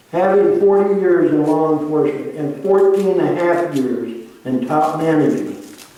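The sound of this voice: Strong room echo surrounds a man speaking fairly slowly. His tone is dark and mellow, with ordinary pitch variation.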